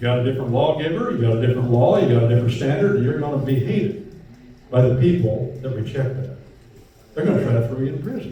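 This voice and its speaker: Noticeable background noise and audible room echo surround a man speaking at a very fast pace. His pitch is medium, with ordinary variation. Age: 70s. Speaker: lecturer, common law lawyer. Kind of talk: lecture. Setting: bakery hall with live audience. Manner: animated.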